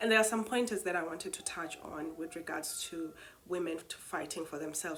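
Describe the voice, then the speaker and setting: Fairly low-pitched woman's voice with fairly even intonation and audible room echo. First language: not English. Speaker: spoken word poet and retreat host. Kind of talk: reflective monologue. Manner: hesitant, many fillers.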